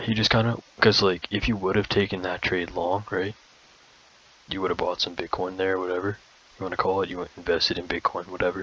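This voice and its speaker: A man speaks at a fairly quick pace in a very deep, low voice, his intonation flat and monotone, with noticeable background noise behind him. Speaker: crypto trading video host. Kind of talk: tutorial. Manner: fast; halting, many fillers and restarts.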